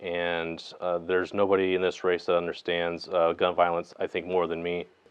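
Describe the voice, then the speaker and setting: At a moderate pace, a man speaks in a very deep, low voice. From California Central Valley. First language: not English. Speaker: congressional candidate. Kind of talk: campaign interview.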